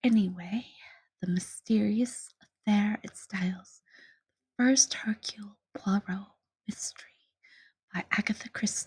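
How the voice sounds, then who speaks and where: At a fairly slow pace, a soft-spoken voice with a gentle tone leaves long, frequent pauses. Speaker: ASMR audiobook reader. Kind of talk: casual intro to listener. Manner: soft-spoken, gentle.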